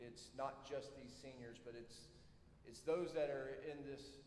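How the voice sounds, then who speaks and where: With a South Georgia accent, a man speaks at a medium pitch with fairly even intonation, and room echo is audible. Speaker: army officer, military science professor. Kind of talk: ceremony speech. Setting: auditorium stage with audience. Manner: halting, many fillers.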